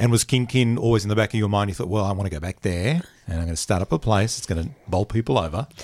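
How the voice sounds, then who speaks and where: Speaking very fast with hardly any pauses, a man with an Australian accent has a fairly low pitch and ordinary pitch variation. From Queensland, Australia (Bundaberg). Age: 50s. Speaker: podcast host. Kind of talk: interview; scripted intro and outro.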